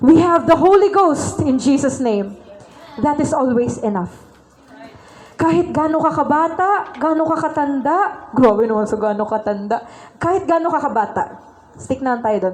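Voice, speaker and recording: The voice has an animated tone and very wide pitch swings. Noticeable background noise and audible room echo are present. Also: woman, high pitch for a woman, moderate pace. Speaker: church speaker. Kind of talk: sermon.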